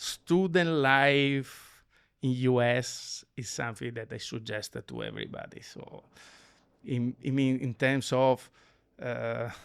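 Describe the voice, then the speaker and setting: A man's medium-pitched voice at a very slow pace, with fairly even intonation and big swings in loudness. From Italy, Venice area. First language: Italian. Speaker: lighting design company executive. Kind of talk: interview conversation. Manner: halting, many fillers.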